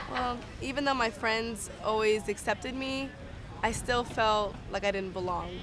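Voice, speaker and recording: This woman has a Californian accent and a fairly high pitch. She talks at a fairly slow pace with fairly even intonation. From Los Angeles, San Fernando Valley. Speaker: student. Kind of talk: personal testimony.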